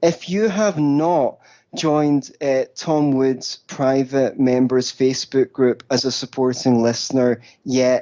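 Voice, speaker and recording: A man's fairly high-pitched voice with a Scottish accent, a dark, mellow tone and ordinary pitch variation. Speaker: libertarian writer and podcaster. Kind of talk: casual interview chat. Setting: phone call.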